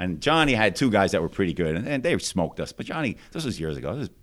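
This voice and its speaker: The voice moves at a very fast pace with very wide pitch swings on a very clean recording with a silent background. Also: man. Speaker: district judge. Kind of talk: casual interview. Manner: fluent storyteller.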